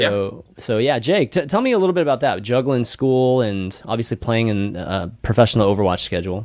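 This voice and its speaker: Over a very clean recording with a silent background, a man of medium pitch talks at a fairly quick pace with lively intonation and hardly any pauses. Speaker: podcast host. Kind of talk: casual chat. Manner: animated.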